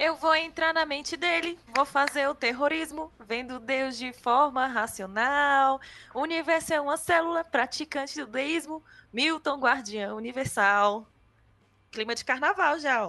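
A woman speaks fairly slowly in a high, raised, projected voice with a bright, sharp tone. Her pitch varies in an ordinary way over a quiet background. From Brazil, Gama (Federal District). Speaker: government podcast producer. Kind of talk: casual chat.

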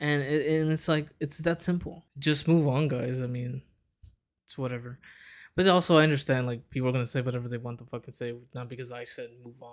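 A man speaks at a fairly quick pace, his medium-pitched voice swinging widely in loudness. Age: 20s. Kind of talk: casual monologue. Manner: animated.

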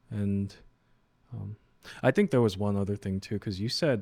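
Heard on a very clean recording with a silent background, a plain, everyday voice speaks with an American accent and fairly even intonation. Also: man. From New York (Queens, Flushing), Korean American. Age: 20s. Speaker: financial advisor. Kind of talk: casual chat.

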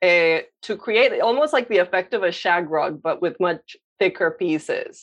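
Her pitch is medium, with ordinary variation. The woman talks at a moderate pace. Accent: Spanish. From Colombia (Medellin). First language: Spanish. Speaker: visual artist, painter. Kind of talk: interview. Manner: hesitant, many fillers.

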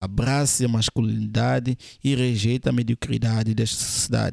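Medium-pitched male voice, very clean and dry, close with no echo and a silent background. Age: 20s. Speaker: podcast host, men's lifestyle coach. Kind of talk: motivational monologue. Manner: emphatic, repetitive.

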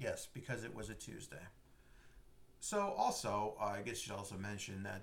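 A man's voice with very wide pitch swings. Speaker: podcast host. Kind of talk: casual chat.

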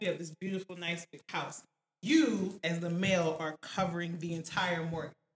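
Fairly brisk delivery in an unremarkable speaking voice. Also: woman. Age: 20s. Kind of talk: casual chat.

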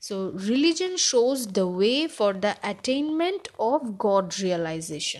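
A woman with a fairly high voice speaks very slowly, her pitch swinging widely, with hardly any pauses. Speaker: podcaster. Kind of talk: casual monologue. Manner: halting, many fillers.

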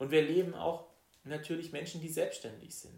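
A somewhat breathy male voice in audible room echo. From Baden, southwest Germany. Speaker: state politician. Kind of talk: political interview.

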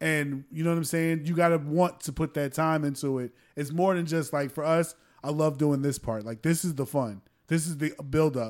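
In a very clean recording with a silent background, a man with an unremarkable speaking voice talks at a fairly high pitch, a moderate pace and with fairly even intonation. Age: 30s. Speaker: podcast host. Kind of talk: casual interview.

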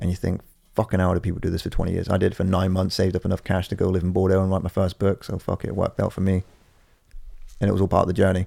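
A man's very fast, mumbled delivery, with a very deep, low pitch, a dark, mellow tone, and monotone, flat intonation. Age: 30s. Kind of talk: casual chat. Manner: fast talker; mumbling.

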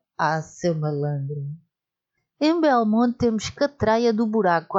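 A woman's pitch swings very widely as she talks at a very slow pace. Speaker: podcaster. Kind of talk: scripted monologue. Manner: animated.

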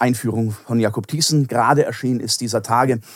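In a plain, everyday voice, a man speaks at a moderate pace and medium pitch with fairly even intonation. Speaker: philosophy professor. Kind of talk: interview.

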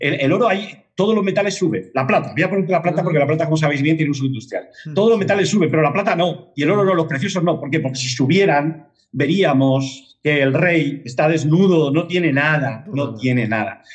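His pace is very fast, with hardly any pauses. The man's pitch is fairly high and varies in an ordinary way. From Spain, Madrid. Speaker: independent market analyst. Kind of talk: interview.

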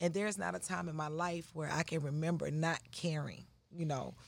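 A woman speaks fairly quickly with a very deep, low pitch and vocal fry. The recording is very clean, with a silent background. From US South, Atlanta, Georgia. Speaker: priestess and shop owner. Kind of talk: interview.

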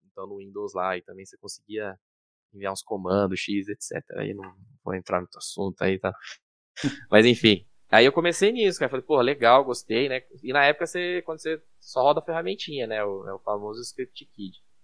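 A man in a normal speaking voice talks at a fairly quick pace and medium pitch, with lively intonation and big swings in loudness. The sound is dry and close, with no echo, against a quiet background. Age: 30s. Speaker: security engineer. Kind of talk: casual chat.

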